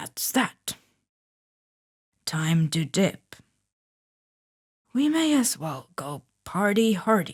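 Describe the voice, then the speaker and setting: A woman's put-on character voice, medium in pitch, with very wide pitch swings, a very slow pace and long, frequent pauses. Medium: read story. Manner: casual, calm.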